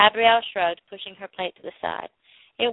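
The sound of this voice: Background quiet, this is an unforced reading voice. The pitch variation is ordinary.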